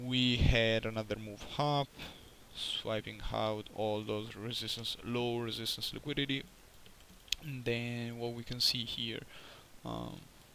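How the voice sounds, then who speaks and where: Over noticeable background noise, a man with a medium pitch talks at a fairly slow pace in monotone, flat intonation. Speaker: day trader. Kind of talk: trade recap tutorial. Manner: halting, many fillers.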